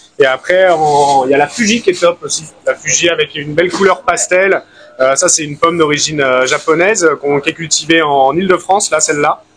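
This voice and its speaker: A man speaks at a fairly quick pace with fairly high pitch and ordinary pitch variation, music playing in the background. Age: 30s. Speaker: fruit and vegetable seller. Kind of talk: street interview. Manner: hesitant, many fillers.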